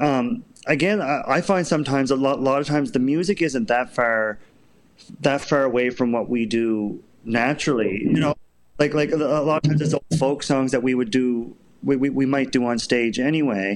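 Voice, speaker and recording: A man with a Canadian Maritime accent talks at a very even loudness. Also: medium pitch for a man, ordinary pitch variation, moderate pace. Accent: Canadian Maritimes. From Prince Edward Island, Canada. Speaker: children's musician and step dancer. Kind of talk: interview. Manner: halting.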